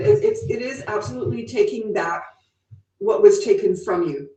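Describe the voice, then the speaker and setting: A woman speaks at a moderate pace, her pitch swinging very widely. There is audible room echo, with music playing in the background. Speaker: witch. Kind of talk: interview. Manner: halting.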